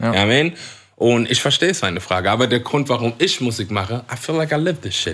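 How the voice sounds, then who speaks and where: A man at medium pitch, lively intonation, very fast pace. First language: English (speaking German). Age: 30s. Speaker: English-language rapper. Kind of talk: casual chat. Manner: code-switching German and English.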